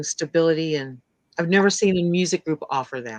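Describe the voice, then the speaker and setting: A normal speaking voice moves at a fairly quick pace. The sound is dry and close with no echo, over a quiet background. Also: woman. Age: 60s. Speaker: podcast guest, fan. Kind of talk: casual chat.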